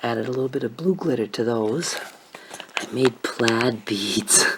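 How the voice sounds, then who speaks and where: A woman is soft-spoken, with ordinary pitch variation. Noticeable background noise sits behind her voice. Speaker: craft vlogger who makes and sells paper beads. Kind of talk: casual talk to camera, quiet vlog. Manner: quiet, soft-spoken.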